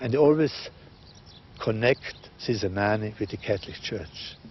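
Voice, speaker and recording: A man at a fairly low pitch with ordinary pitch variation, a moderate pace and noticeable background noise. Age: 60s. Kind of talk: interview testimony.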